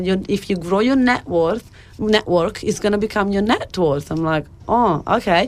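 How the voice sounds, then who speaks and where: With an Italian accent, a woman speaks at a moderate pace with medium pitch and lively intonation. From Italy, near Bologna. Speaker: life coach and author. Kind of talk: radio interview.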